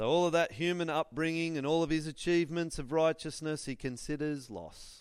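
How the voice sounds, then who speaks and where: A man with an Australian accent and a fairly high pitch talks at a fairly quick pace with hardly any pauses. His intonation is fairly even, and the recording is very clean with a silent background. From Australia, northern New South Wales. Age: 40s. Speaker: school chaplain and guest preacher. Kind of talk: sermon. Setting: church with congregation.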